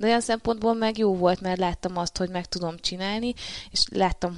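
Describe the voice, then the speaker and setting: Woman at a fairly quick pace against a quiet background. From Hungary, Marcali area (Somogy). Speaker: professional kickboxer. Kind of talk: interview. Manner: halting, many fillers and repetitions.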